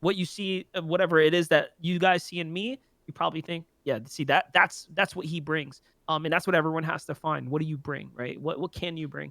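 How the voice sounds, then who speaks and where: A man with an American accent, a bright, sharp tone, fairly high pitch with ordinary variation, a fairly quick pace, and a dry, close sound with no echo. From New York City, the Bronx. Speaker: esports caster and entrepreneur. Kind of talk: casual podcast chat. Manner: halting, many fillers and repeats.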